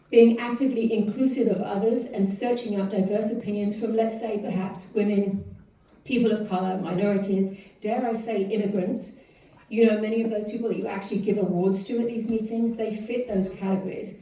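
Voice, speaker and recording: Noticeable background noise and audible room echo surround a woman with a non-native accent and a fairly high pitch. She speaks fairly quickly in a flat monotone. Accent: foreign. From outside the US. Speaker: public commenter. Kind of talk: public comment at council meeting. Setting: city council meeting. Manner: reading from a script.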